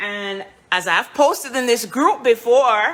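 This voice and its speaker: Over noticeable background noise, a woman speaks with a Jamaican accent. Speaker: home baker and cook. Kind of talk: live cooking stream. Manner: casual, chatty.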